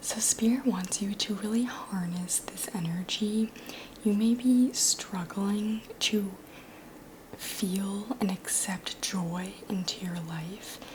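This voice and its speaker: Speaking at a very slow pace, this soft-spoken voice keeps a calm tone over noticeable background noise. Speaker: tarot reader. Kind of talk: ASMR tarot reading. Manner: soft-spoken, calm.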